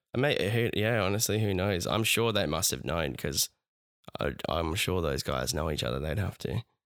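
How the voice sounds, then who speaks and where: A man speaks at a moderate pace with a very deep, low pitch, vocal fry and lively intonation. His loudness stays very even, and the recording is very clean with a silent background. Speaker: podcast co-host. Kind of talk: casual chat. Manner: halting. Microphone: new studio microphone.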